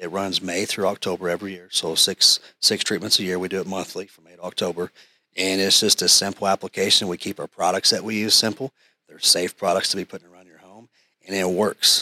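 Bright and sharp in tone, a man with an American accent and a fairly low pitch speaks at a fairly quick pace in a monotone, flat intonation, with big swings in loudness and a dry, close sound with no echo. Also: very clean recording, silent background. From Tulsa, Oklahoma. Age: 30s. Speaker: pest control business owner. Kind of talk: casual interview.

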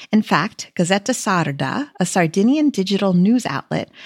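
A woman speaks with an American accent, her voice somewhat breathy. The sound is dry and close with no echo. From United States. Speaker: podcast host and food writer. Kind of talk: true-crime news narration, scripted-sounding. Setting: podcast recording. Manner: measured, storytelling tone.

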